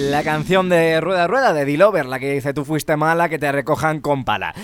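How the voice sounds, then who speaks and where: Here a man talks at a fairly quick pace with a fairly high pitch. His tone is animated. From Spain (Ávila). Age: 20s. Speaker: radio host. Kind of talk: call-in radio show.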